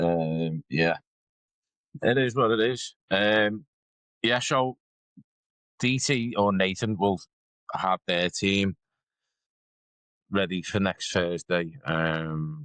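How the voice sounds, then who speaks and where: Speaking in a northern English accent, a man goes very slowly with long, frequent pauses and lively intonation at a fairly low pitch. His loudness is very even, and the sound is dry and close with no echo. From northern England. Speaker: podcast co-host. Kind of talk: casual chat.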